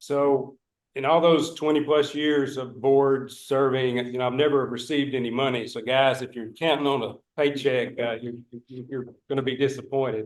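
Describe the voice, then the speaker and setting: A man speaks at a moderate pace with a Northeast Texas accent, his intonation flat and monotone. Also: medium pitch for a man. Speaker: board candidate. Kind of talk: candidate self-introduction at public meeting. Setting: public meeting.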